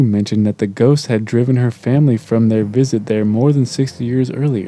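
A dramatic, dark and mellow male voice at a medium pitch, with fairly even intonation. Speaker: podcast host. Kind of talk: ghost story telling, reading aloud.

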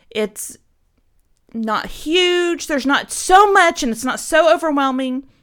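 A woman speaks at a high pitch with very wide pitch swings and a bright, sharp, animated tone. The recording is very clean, with a silent background. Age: 40s. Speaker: podcast co-host. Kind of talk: casual chat.

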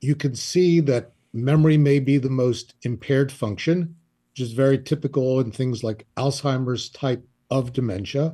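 The voice has a dark, mellow tone and is somewhat breathy. Its intonation stays fairly even at a moderate pace. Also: man, medium pitch for a man. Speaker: psychologist. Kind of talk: interview.

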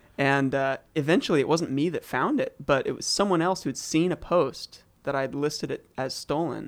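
This man has a normal speaking voice with a General American accent and a fairly high pitch. He talks at a moderate pace with ordinary pitch variation and hardly any pauses. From US Pacific Northwest (Eugene, Oregon). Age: 20s. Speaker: pianist and producer. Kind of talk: casual interview chat.

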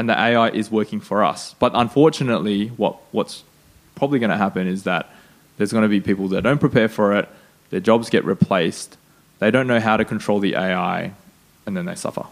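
Talking at a fairly quick pace, a man with an Australian accent has a fairly low pitch. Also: ordinary pitch variation. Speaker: podcast host. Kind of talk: casual interview.

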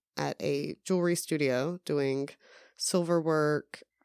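In a very clean, dry, close recording with a silent background and no echo, a woman speaks with a very deep, low pitch. Her pace is fairly slow and her intonation fairly even. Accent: American. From US South. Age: 30s. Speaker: podcast guest. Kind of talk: casual chat.

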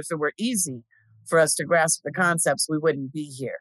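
A woman with an American accent and a very deep, low pitch speaks at a moderate pace, her sound dry and close with no echo against a quiet background. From Inland Empire, Southern California. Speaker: podcast co-host. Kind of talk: casual chat.

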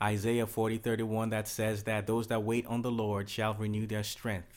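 At a moderate pace, a man talks with medium pitch. It is an ordinary speaking voice on a very clean recording with a silent background. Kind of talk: sermon-style talk.

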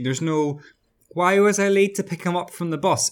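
A man speaks at a medium tempo, very cleanly recorded against a silent background. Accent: Irish. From Ireland, small town. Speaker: podcast co-host discussing a TV series. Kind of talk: casual chat.

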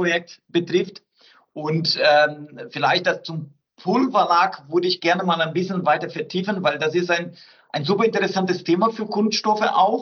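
A man with a Portuguese accent speaks at a fairly slow pace. His pitch is high. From southern Brazil. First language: Portuguese (speaking German). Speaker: research centre director. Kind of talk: interview.

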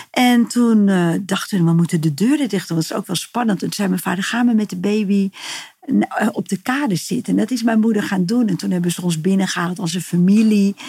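A woman with a dark, mellow tone speaks at a fairly quick pace in a medium-pitched, somewhat breathy voice. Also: ordinary pitch variation. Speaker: healer. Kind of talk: interview, personal story. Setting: in person at her practice space.

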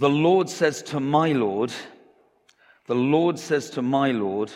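A man talks at a medium pitch. He speaks at a very slow pace. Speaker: preacher. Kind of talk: sermon. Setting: church.

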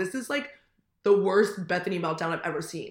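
An animated woman with a Californian accent and very wide pitch swings. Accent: Californian American. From US West Coast, Manhattan Beach, California. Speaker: podcast co-host. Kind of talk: casual chat. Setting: remote recording.

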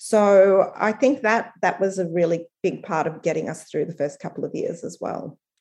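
Speaking with an Australian accent at a moderate pace, a woman uses a medium pitch and ordinary pitch variation, with hardly any pauses. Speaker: strategy consultancy founder. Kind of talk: interview.

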